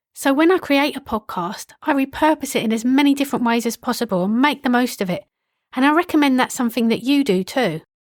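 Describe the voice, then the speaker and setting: A woman's high-pitched voice with a British accent, very fast and with lively intonation, its sound dry and close with no echo, on a very clean recording with a silent background. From UK. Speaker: podcast consultant. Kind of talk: solo podcast monologue. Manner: casual, conversational.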